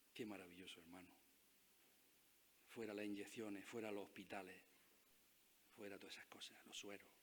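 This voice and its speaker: The speaker moves at a fairly quick pace in a monotone, flat intonation, broken by long, frequent pauses, with audible room echo around the voice. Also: man, fairly low pitch for a man. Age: 60s. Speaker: pastor. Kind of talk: sermon.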